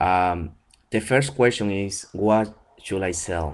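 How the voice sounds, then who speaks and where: With a very deep, low pitch, a man talks at a very slow pace. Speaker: online seller. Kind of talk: tutorial. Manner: hesitant, many fillers. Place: home room. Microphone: webcam.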